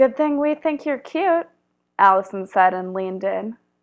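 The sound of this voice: An unforced reading voice with lively intonation over a quiet background.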